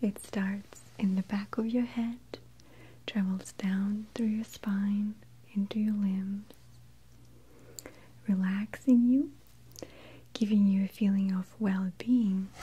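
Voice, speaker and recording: A whispering, soft-spoken woman, somewhat breathy, with long, frequent pauses. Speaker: presenter. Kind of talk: soft explanatory talk to viewer. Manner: soft breathy near-whisper, slow. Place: studio.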